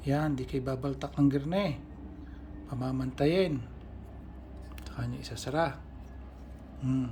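Audible room echo around a male speaker's fairly unhurried delivery. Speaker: balisong knife restorer and channel host. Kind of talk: tutorial.

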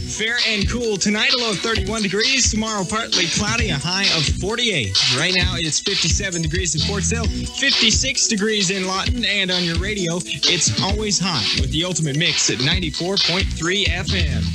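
A man at a moderate pace with hardly any pauses, over loud music in the background. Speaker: radio DJ. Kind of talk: radio DJ aircheck. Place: studio. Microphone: old recording.

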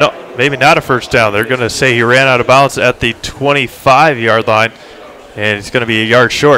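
Over noticeable background noise, a man speaks at a medium pitch and a moderate pace with fairly even intonation. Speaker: football play-by-play announcer. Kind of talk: live sports commentary, play-by-play. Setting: stadium broadcast booth.

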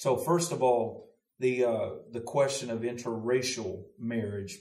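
A somewhat breathy man with a Southern US accent, audible room echo, and a quiet background. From US South (Louisiana, Mississippi). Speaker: pastor. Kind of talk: casual discussion. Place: studio.

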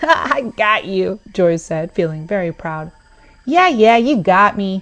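In a natural voice with lively intonation, someone reads a text aloud.

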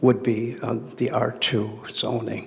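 Against noticeable background noise, a man speaks at a medium pitch in a monotone, flat intonation. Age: 70s. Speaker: property owner and real estate broker applicant. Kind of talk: public hearing testimony. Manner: halting, many fillers.

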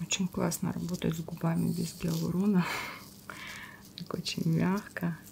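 Amid light background noise, a woman speaks with long, frequent pauses. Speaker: masseuse and esthetician. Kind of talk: educational face massage tutorial narration. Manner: soft-spoken, slow.

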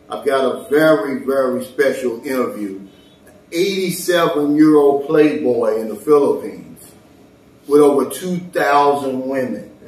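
The man's pitch is fairly high and his intonation lively. He speaks at a fairly slow pace, with audible room echo. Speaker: expat vlogger. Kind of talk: casual talk to camera. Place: home room. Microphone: camera far.

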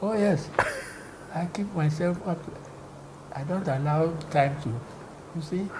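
With noticeable background noise behind him, a man speaks in a high pitch at a fairly slow pace, leaving long, frequent pauses. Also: ordinary pitch variation. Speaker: former broadcast commentator. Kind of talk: interview answer. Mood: cheerful, animated storytelling. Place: home room. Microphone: lapel.

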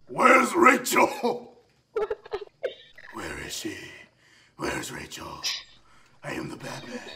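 A put-on character voice from a man, raspy and extremely high-pitched, at a fairly slow pace with long, frequent pauses. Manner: menacing, intense.

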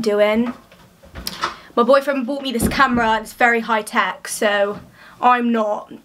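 The woman's intonation stays flat and monotone while noticeable noise runs in the background. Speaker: athlete vlogger. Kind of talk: casual vlog chat. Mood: cheerful, a bit shy. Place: home room. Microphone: phone near.

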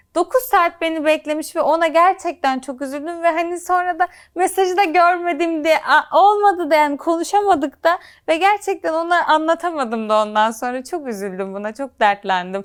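A woman's extremely high voice with very wide pitch swings, at a moderate pace, on a very clean recording with a silent background. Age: 20s. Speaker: medical intern and social media influencer. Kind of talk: interview.

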